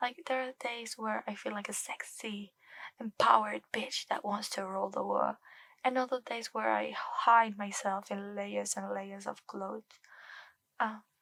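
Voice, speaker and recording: Soft-spoken delivery at a moderate pace. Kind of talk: ASMR chatting to camera.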